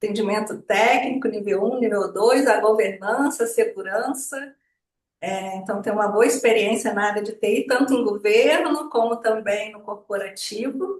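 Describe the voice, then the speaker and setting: Her voice is an unremarkable speaking voice, as this woman speaks at a fairly high pitch and a moderate pace with ordinary pitch variation and big swings in loudness. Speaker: social impact consultant. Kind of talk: webinar presentation.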